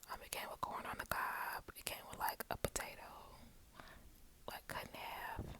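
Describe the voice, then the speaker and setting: A woman whispering at a moderate pace. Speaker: ASMR creator. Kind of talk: ASMR whisper ramble. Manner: whispered.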